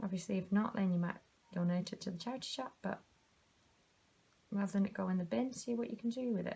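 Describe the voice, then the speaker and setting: A woman in a British accent, very fast and somewhat breathy, dark and mellow in tone, with long, frequent pauses. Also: medium pitch for a woman, ordinary pitch variation. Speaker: craft tutor. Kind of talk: tutorial. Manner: quiet while concentrating; casual.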